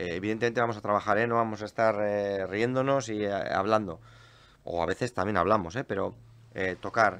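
A man speaks fairly quickly in an unremarkable speaking voice. His pitch is fairly low and his intonation fairly even. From Basque Country, Spain (Portugalete). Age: 40s. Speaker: folk musician. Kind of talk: casual chat.

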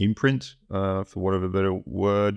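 At a moderate pace, a man speaks with a dry, close sound, no echo and a quiet background. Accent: Australian. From Australia. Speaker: writer and musician. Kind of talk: self-interview monologue. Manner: halting, filled with ums.

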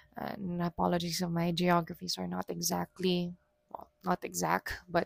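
In a dry, close sound with no echo, a woman with fairly low pitch speaks in a relaxed tone. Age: 30s. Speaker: solo podcast host. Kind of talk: personal reflective monologue. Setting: alone at home at dining table. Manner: hesitant, many fillers.

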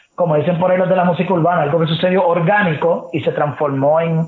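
A man speaks in a high-pitched voice. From Puerto Rico, San Juan area. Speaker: sports reporter and analyst. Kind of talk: casual interview chat.

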